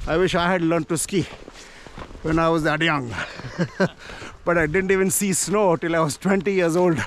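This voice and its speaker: A man's high-pitched voice at a moderate pace, very even in loudness and fairly even in intonation, dry with no echo, over light background noise. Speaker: hiking vlogger. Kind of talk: casual vlog chat. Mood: cheerful, laughing. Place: open country. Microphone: phone near.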